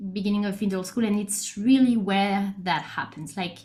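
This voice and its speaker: A woman with a French accent sounds somewhat breathy, her intonation fairly even, with audible room echo around her. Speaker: neuroscientist. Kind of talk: lecture.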